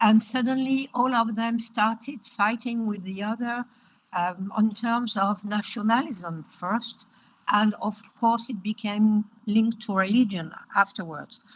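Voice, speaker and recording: A woman talks at a fairly slow pace and a fairly high pitch, somewhat breathy and with fairly even intonation. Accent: French. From France. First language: French. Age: 70s. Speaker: education advocate. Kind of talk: interview. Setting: video call.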